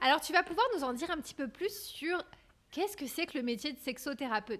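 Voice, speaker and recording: Her voice is high-pitched for a woman, and her intonation is lively. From France. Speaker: podcast host. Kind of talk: interview conversation.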